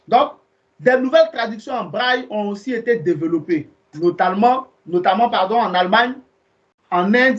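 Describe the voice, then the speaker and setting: In a high-pitched voice with lively intonation, a man talks at a fairly slow pace. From Ivory Coast. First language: Ivorian ethnic language (speaking French). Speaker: evangelist. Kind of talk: Bible teaching. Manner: conversational.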